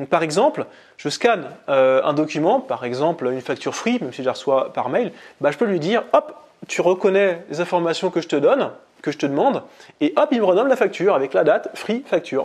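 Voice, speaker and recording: This man has a high pitch. It swings very widely. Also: fairly quick pace. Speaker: productivity blogger and youtuber. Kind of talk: casual tutorial to camera. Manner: fast; halting, with many fillers.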